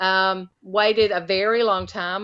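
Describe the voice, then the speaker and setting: The speaker is a woman with a Southern US accent. Her tone is bright and sharp. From US South (Alabama). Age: 50s. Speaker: retired special education teacher. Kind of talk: interview conversation.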